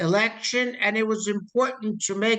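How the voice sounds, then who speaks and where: A raised, projected man's voice with an American accent, high-pitched with a bright, sharp tone, ordinary pitch variation and a moderate pace. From US. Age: 70s. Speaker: political activist. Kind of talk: interview. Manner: animated.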